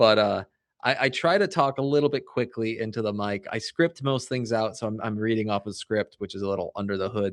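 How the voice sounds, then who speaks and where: Against a quiet background, a man speaks at a fairly quick pace with lively intonation. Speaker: financial advisor, podcaster. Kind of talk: casual interview. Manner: fast.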